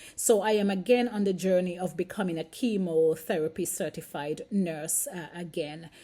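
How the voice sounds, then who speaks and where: A woman with a Caribbean accent speaks at a moderate pace in a dark, mellow tone. Her pitch is medium with ordinary variation, and the recording is very clean with a silent background. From St Kitts, Caribbean. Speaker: nurse and vlogger. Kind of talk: casual vlog monologue. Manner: hesitant, with fillers.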